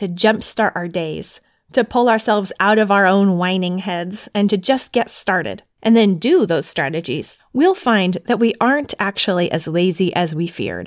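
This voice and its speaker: A woman with a plain, everyday voice speaks at a moderate pace and a medium pitch, with ordinary pitch variation and hardly any pauses. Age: 30s. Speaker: podcast host and homeschooling mother. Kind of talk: scripted narration. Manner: formal.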